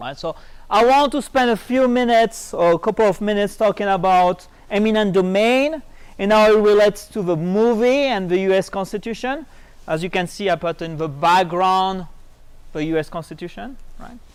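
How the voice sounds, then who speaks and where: A man's high-pitched voice moves at a moderate pace, with ordinary pitch variation. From France. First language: French. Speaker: economics professor. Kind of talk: lecture.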